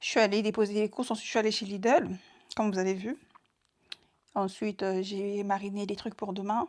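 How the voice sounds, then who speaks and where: The recording is very clean and the background silent. A woman talks at a medium pitch. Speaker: vlogger. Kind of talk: casual vlog talk to camera. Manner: fast.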